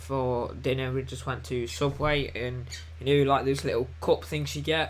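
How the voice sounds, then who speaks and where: In a room with audible echo, a man talks at a fairly slow pace, his pitch swinging very widely. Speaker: gardening youtuber. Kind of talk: live stream Q&A chat. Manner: casual, hesitant with many ums.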